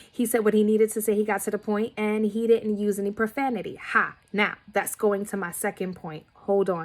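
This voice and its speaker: A woman with an American accent speaks in a fairly high pitch at a moderate pace. Her intonation is monotone and flat, with hardly any pauses. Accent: Bronx Nuyorican, comes out sometimes. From New York, the Bronx. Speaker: student. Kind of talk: recorded discussion board response. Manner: casual, conversational with many fillers.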